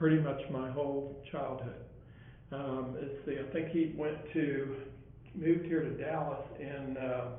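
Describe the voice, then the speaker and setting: Speaking fairly slowly in a US Midwestern accent, a man keeps a monotone, flat intonation amid audible room echo. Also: fairly high pitch for a man. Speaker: artist. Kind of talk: oral history interview. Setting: library. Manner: hesitant, with many fillers.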